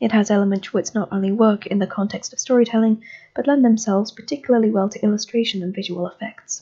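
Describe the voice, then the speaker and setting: Very fast speech from a woman, fairly high in pitch, somewhat breathy, with a dark, mellow tone and fairly even intonation. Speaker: amateur reader. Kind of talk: magazine article reading.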